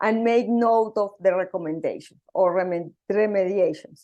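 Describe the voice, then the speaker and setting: A woman speaks in a Spanish accent at a moderate pace. Her pitch varies in an ordinary way over a quiet background. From Colombia. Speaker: software engineer and conference speaker. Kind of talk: conference talk. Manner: halting.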